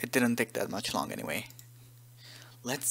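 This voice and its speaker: A fairly quick pace with a non-native accent. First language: not English. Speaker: game modder, tutorial maker. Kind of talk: tutorial. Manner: hesitant, many fillers.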